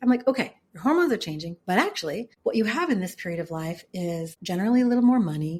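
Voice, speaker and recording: A woman with a medium pitch talks at a very fast pace with hardly any pauses and a somewhat breathy sound. Her pitch swings very widely and her loudness shifts a lot. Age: 50s. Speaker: author and business founder. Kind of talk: podcast interview.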